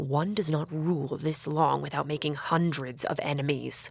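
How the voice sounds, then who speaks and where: A put-on character voice growls in a low-to-middle pitch. The pace is moderate. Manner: menacing.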